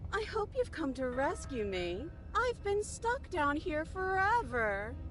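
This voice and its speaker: A put-on character voice with a high pitch moves at a fairly slow pace over clear background noise. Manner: pleading yet haughty.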